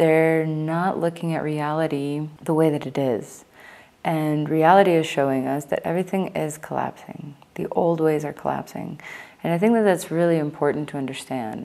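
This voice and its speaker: A woman's very deep, low voice with a dark, mellow tone. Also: fairly even intonation, moderate pace. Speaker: spiritual vlogger. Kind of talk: casual vlog monologue. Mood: earnest, reflective, critical. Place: home room. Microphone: lapel.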